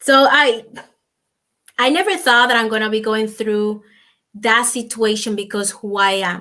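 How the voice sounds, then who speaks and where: A woman with a Dominican accent speaks at a fairly high pitch with ordinary pitch variation. Her pace is fairly slow, with long, frequent pauses. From Dominican Republic. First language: Spanish. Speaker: businesswoman and nutritionist. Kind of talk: interview. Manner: halting.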